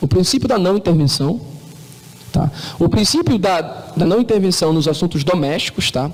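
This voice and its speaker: Over noticeable background noise, a man talks with a high pitch and lively intonation. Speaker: law professor. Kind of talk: lecture. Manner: fast.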